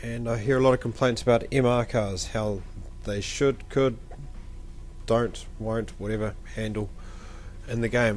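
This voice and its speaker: With music playing in the background, a man with a New Zealand accent talks at a moderate pace and medium pitch in a monotone, flat intonation. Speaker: video game commentator. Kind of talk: gameplay commentary. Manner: casual, hesitant.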